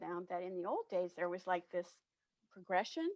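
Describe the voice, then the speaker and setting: A woman with an unremarkable speaking voice talks at a moderate pace, medium in pitch with fairly even intonation. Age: 60s. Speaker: diversity and inclusion consultant. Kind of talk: interview.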